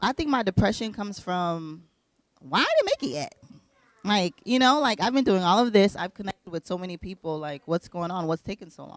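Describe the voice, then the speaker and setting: The speech moves at a fairly quick pace with lively intonation and big swings in loudness, in a dry, close sound with no echo. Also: woman, medium pitch for a woman. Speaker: entrepreneur and media founder. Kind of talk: talk show interview.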